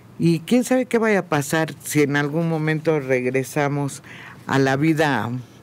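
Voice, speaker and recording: The man's pitch is fairly high and he speaks at a fairly slow pace. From Mexico. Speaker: radio panelist. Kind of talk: radio panel discussion. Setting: radio studio. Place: studio. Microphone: studio mic.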